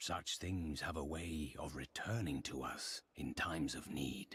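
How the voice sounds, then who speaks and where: In a put-on character voice, the speaker goes at a fairly slow pace. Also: man, very deep, low pitch for a man. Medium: video game. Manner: grave, measured.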